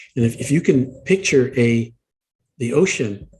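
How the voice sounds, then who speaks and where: Lively intonation in a somewhat breathy voice. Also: man. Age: 70s. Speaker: meditation instructor and Navy veteran. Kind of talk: interview.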